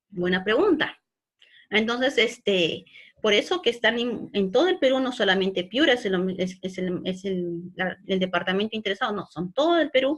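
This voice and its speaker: A woman with lively intonation. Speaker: online course instructor. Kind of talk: virtual class lecture. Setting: virtual class. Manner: fast.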